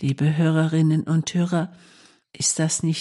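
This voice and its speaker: A woman's very deep, low voice with a dark, mellow tone and a calm, soothing tone. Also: quiet background. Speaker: nun presenting a radio meditation. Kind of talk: reflective devotional talk. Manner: calm, soothing, gentle.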